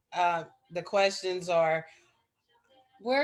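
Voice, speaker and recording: With music in the background, a woman speaks in an American accent. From Arkansas, US. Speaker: English teacher. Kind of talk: interview. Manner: halting.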